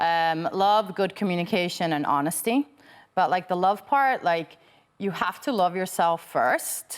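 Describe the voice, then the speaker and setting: A woman at medium pitch with ordinary pitch variation, fairly slow pace and very even loudness, on a very clean recording with a silent background. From Venezuela. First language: Finnish. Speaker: life and relationship coach. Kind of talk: interview.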